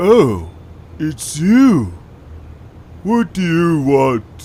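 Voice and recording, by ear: Using a cartoonish character voice, a man speaks very slowly in a fairly high pitch with a dark, mellow tone and big pitch swings.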